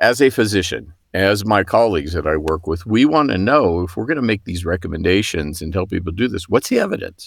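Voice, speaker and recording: Speaking at a fairly quick pace with lively intonation, a man uses a plain, everyday voice at a fairly low pitch in a very clean recording with a silent background. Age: 60s. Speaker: physician and hospital executive. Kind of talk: interview.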